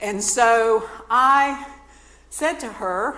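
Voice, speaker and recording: A woman with an American accent and ordinary pitch variation, noticeable background noise behind her. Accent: Southern US, stronger when talking fast. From North Carolina. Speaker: nonprofit speaker, former church music minister. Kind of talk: talk to a community audience.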